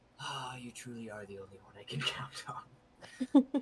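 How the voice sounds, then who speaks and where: The speaker uses a put-on character voice with a low-to-middle pitch. The pace is moderate, with light background noise. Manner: muttering.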